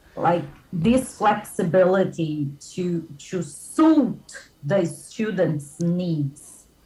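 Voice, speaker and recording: Somewhat breathy and very slow, a woman speaks in a fairly low pitch with a dark, mellow tone. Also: ordinary pitch variation. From midwest Brazil. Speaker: English school founder and teacher. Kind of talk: casual chat.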